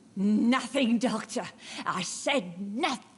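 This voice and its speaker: A female-sounding voice puts on a character with a fairly high pitch. The pace is fairly slow. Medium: video game. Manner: cryptic, eerie.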